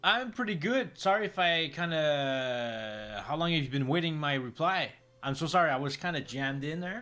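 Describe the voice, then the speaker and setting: A man with a French Canadian accent and a fairly high pitch speaks at a moderate pace with lively intonation. He leaves hardly any pauses. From French Canada. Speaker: digital artist streamer. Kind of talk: casual chat. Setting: live stream.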